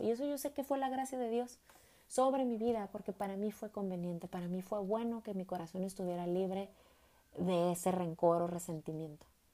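At a fairly quick pace, a woman talks with lively intonation and a warm, dark, mellow tone. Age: 40s. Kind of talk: faith-based personal testimony. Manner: warm, hesitant with repetitions.

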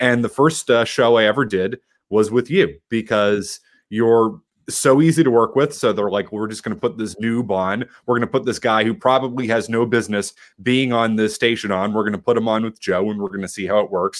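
An American accent at a fairly quick pace, with ordinary pitch variation, on a very clean recording with a silent background. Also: man, medium pitch for a man. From Boston area, South Shore. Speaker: sports radio host. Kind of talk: casual chat.

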